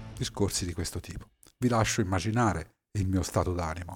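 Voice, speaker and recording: A man speaks at a moderate pace in a very deep, low pitch, somewhat breathy. The recording is very clean with a silent background. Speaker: podcaster and former navy submarine officer. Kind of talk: personal storytelling monologue. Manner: hesitant with fillers.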